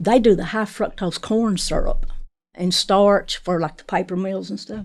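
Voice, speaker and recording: A woman's unremarkable speaking voice at medium pitch and moderate pace, with fairly even intonation, on a very clean recording with a silent background. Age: 60s. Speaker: patient, factory worker. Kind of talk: casual interview.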